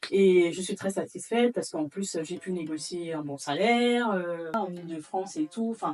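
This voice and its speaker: With noticeable background noise behind her, a woman speaks at a moderate pace and medium pitch, with ordinary pitch variation and hardly any pauses. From Gabon, Libreville. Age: 30s. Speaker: real estate litigation lawyer. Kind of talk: interview. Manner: halting.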